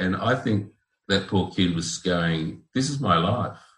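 In an Australian accent, a man talks with a very deep, low pitch and lively intonation. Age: 60s. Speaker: guest living with bipolar disorder. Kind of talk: interview.

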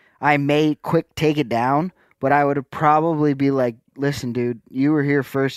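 A man with a plain, everyday voice and a fairly high pitch speaks at a moderate pace in a very clean recording with a silent background and a dry, close sound with no echo. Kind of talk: casual chat.

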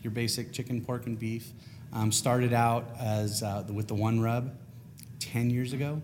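An American-accented man talks at a fairly slow pace and medium pitch. His intonation stays monotone and flat, with audible room echo. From California, US. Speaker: spice rub maker. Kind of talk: casual interview.

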